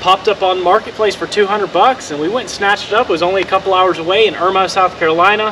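Against noticeable background noise, a man speaks in a raised, projected voice at a very fast pace. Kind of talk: casual vlog chat. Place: street. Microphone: camera far.

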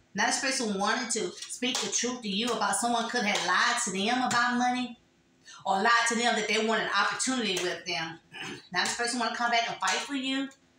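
A woman talks at a fairly quick pace with fairly even intonation. Audible room echo and noticeable background noise surround her voice. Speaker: tarot reader. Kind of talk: tarot reading monologue. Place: home room. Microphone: phone near.

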